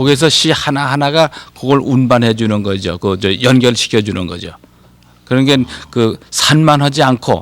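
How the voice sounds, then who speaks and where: Heard here is a normal speaking voice moving at a moderate pace. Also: man. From Korea (Anseong, Gyeonggi). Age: 60s. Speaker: poet and professor. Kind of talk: TV talk show interview.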